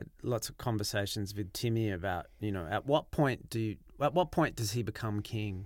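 On a very clean recording with a silent background, a man talks in an unremarkable speaking voice at a fairly low pitch with ordinary pitch variation, a moderate pace, and hardly any pauses. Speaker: film director and co-writer. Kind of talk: casual commentary.

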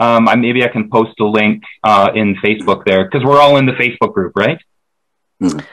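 At a moderate pace, a man with an unremarkable speaking voice talks at medium pitch with ordinary pitch variation. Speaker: documentary video maker. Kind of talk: casual group podcast discussion.

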